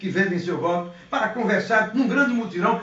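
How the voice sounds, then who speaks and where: With noticeable background noise and audible room echo, a man talks at a fairly quick pace in an animated tone with ordinary pitch variation. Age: 60s. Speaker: politician. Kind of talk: interview.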